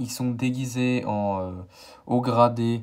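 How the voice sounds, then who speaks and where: A man at a very slow pace, with fairly even intonation. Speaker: YouTuber, toy collector. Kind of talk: collection showcase video. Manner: halting, many fillers.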